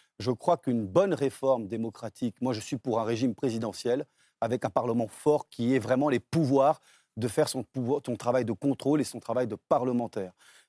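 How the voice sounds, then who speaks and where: A man's medium-pitched voice with a dark, mellow tone, ordinary pitch variation and a moderate pace, in a very clean recording with a silent background and a dry, close sound with no echo. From Brazil, then Paris suburbs from age 10. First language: Portuguese (speaking French). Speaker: business owner and former politician. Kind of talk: televised political debate.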